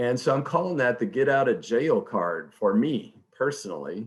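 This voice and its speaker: A man with a normal speaking voice and an American accent talks at a medium pitch. His intonation is lively, and the background is quiet. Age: 60s. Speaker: economist. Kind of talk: webinar presentation. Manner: conversational.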